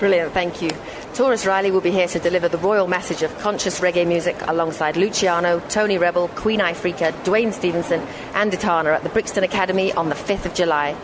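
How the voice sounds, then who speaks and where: Over noticeable background noise, a woman speaks at a very fast pace with fairly even intonation. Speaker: radio host. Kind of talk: radio interview.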